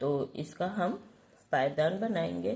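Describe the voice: The voice has a husky, rough edge, vocal fry and a slightly mellow tone. It moves at a fairly slow pace with ordinary pitch variation. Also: woman.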